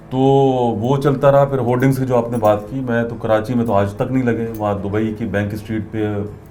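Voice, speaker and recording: A man speaks at a medium pitch. The room gives back an audible echo. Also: fairly even intonation. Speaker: radio presenter. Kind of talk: interview.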